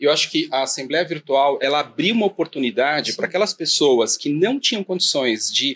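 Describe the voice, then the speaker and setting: An ordinary speaking voice from a man, fairly high in pitch, with lively intonation at a moderate pace and a dry, close sound with no echo. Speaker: podcast host. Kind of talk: casual interview chat.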